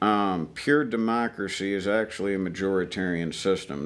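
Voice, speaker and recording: At a moderate pace, a man in an Ozarks accent speaks with a very deep, low pitch and ordinary pitch variation. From US, Ozarks (Missouri). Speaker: army veteran. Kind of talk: interview conversation. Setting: outdoor shooting range.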